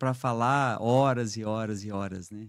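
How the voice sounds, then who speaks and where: With a southern Minas Gerais accent, a man talks at medium pitch with ordinary pitch variation on a very clean recording with a silent background. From southern Minas Gerais, Brazil (Três Pontas). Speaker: business executive, trade union president. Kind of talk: podcast interview.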